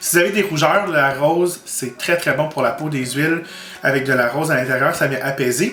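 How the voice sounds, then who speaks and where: Music plays in the background as a man with a Quebec accent speaks at a moderate pace with ordinary pitch variation, his voice carrying audible room echo. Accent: Québécois French. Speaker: makeup YouTuber. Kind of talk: product review vlog. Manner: animated.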